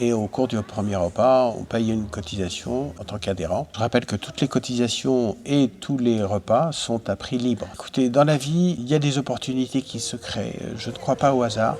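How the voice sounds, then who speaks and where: A man talks at a medium pitch and moderate pace, with ordinary pitch variation and hardly any pauses. Noticeable background noise is present. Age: 60s. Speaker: retired volunteer. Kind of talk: interview testimony.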